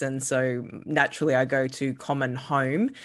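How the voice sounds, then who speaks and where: Against a quiet background, a woman speaks with an Australian accent. Her pitch is very deep and low. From Australia, Queensland Sunshine Coast. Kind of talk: interview conversation. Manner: frequent hesitations (uh, um).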